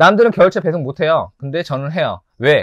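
At a fairly quick pace, a man with a fairly high pitch and lively intonation speaks against a quiet background, the sound dry with no echo. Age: 40s. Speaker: pet shop owner and tarantula keeper. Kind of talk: self-introduction video monologue. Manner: casual, with many fillers. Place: shop. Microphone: lapel.

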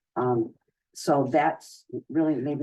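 The man's voice has a dark, mellow tone. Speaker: school committee member. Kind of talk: public meeting discussion.

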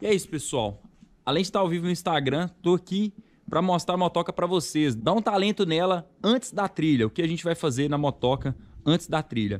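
Here a man talks with a high pitch. The intonation he uses is lively. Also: fairly quick pace. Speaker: motorcycle vlogger. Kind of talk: casual vlog chat. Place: garage. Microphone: phone near.

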